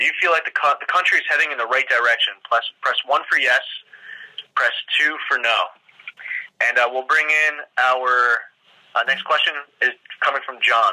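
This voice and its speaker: Against a quiet background, a man talks at a moderate pace with long, frequent pauses. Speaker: politician hosting call-in. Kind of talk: telephone town hall hosting.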